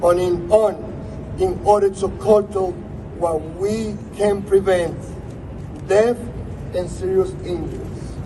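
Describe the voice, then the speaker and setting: A man's high-pitched voice at a very slow pace, with noticeable background noise. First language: Spanish. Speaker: politician. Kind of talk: prepared speech.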